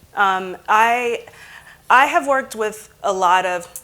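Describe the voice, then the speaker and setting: The pace of this woman's speech is very slow. Background noise is noticeable throughout. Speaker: conference speaker. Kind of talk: conference talk.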